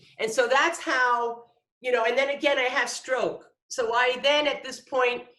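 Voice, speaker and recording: A woman projects her raised voice at a high pitch. The tone is bright and sharp. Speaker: design instructor. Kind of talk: tutorial. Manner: halting.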